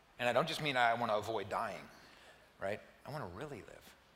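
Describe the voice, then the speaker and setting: Very fast speech comes from a man with a bright, sharp tone and ordinary pitch variation. Audible room echo surrounds his voice. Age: 60s. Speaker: pastor. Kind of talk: sermon. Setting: church.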